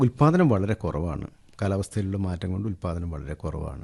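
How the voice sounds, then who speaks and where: A man's fairly low, somewhat breathy voice with a dark, mellow tone and lively intonation. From Kerala, Idukki district (Adimali). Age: 50s. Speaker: organic farmer and businessman. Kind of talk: interview.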